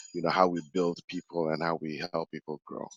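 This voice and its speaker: A man with a Ghanaian accent talks at a very fast pace, the sound dry and close with no echo. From Ghana, West Africa. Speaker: human capability specialist. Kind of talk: casual interview.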